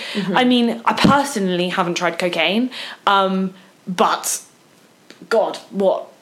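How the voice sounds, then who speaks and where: A woman at medium pitch talks fairly slowly with lively intonation, very even loudness and long, frequent pauses. Noticeable background noise is audible. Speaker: podcast co-host. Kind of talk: casual chat.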